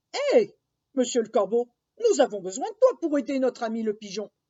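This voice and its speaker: A woman uses a put-on character voice, high in pitch and at a fairly quick pace. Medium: read story. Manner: lively, chatty.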